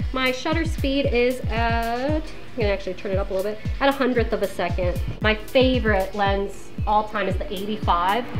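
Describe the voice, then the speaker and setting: Clear music plays in the background while a woman speaks at a moderate pace. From Poland. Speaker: photographer and professor. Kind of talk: casual talk during photo shoot. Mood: warm, encouraging. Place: studio.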